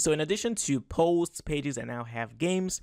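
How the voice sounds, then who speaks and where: Lively intonation marks a man speaking with a non-native accent at a moderate pace. The recording is very clean, with a silent background. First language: not English. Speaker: web development tutorial creator. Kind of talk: screen-recorded tutorial. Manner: casual, conversational.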